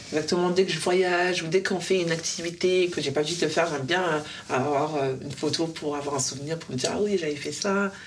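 A woman with a fairly low pitch speaks at a fairly quick pace with fairly even intonation. Noticeable background noise and audible room echo surround her. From Paris southern suburbs, Essonne. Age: 20s. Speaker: single on a dating show. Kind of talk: casual chat. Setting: in total darkness.

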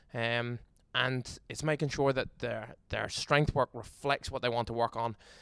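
A man speaks at a moderate pace with an Irish accent. The recording is very clean, with a silent background and a dry, close sound with no echo. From Ireland. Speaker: strength and conditioning coach. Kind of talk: casual interview.

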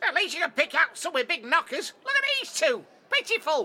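A cartoonish character voice at extremely high pitch, fairly quick, with very wide pitch swings. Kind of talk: comic puppet voice. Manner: insulting, cheeky, malicious.

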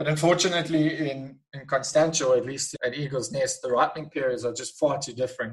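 A man's fairly high, somewhat breathy voice at a very fast pace with fairly even intonation. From Eastern Cape, South Africa. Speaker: winemaker. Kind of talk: interview.

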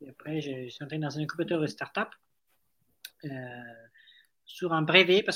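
A man with a slight Italian accent and a bright, sharp tone speaks with ordinary pitch variation on a very clean recording with a silent background. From Italy. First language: Italian (speaking French). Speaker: startup founder. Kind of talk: interview.

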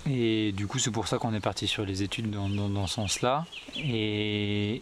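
A man of medium pitch speaks at a moderate pace over noticeable background noise. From France, southern Deux-Sèvres. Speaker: wildlife filmmaker. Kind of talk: long-form interview. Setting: at a table in his small farm. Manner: halting, many hesitations.

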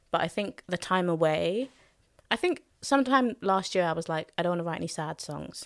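A woman with a London accent and a fairly low pitch, lively intonation and a moderate pace, on a very clean recording with a silent background. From London, Hackney. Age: 20s. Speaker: soul singer and songwriter. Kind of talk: casual chat.

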